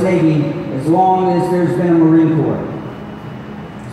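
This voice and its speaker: Strong room echo and light background noise surround a man's high-pitched voice, which keeps a fairly even intonation. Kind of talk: ceremony speech. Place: hall. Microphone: pa.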